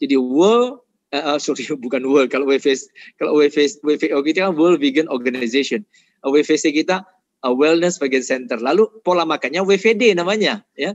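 A man with an ordinary speaking voice, fairly high in pitch, lively intonation, a moderate pace and a quiet background. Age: 50s. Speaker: nutrition doctor and vegan advocate; speaker. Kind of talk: health lecture. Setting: online webinar. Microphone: video call.

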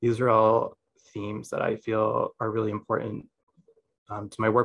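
Against a quiet background, a man with an American accent talks fairly quickly in a flat monotone. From USA. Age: 20s. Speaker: photographer. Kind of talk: lecture. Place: home room. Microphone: video call.

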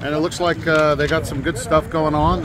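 A man speaks with noticeable background noise behind him. The sound is dry, with no echo. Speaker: radio host. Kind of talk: radio DJ patter, live remote broadcast at a grand opening. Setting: outdoors at event. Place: street. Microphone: phone near.

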